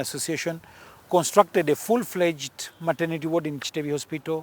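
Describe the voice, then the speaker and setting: A man's fairly high voice in a Punjabi accent, at a fairly quick pace with fairly even intonation. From Uganda, grew up in army barracks. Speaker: politician. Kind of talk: interview.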